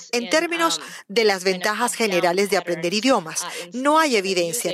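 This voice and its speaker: With lively intonation and a medium pitch, a woman talks at a moderate pace over noticeable background noise. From Russia. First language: Russian (speaking Spanish). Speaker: neuroscience professor. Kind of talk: interview.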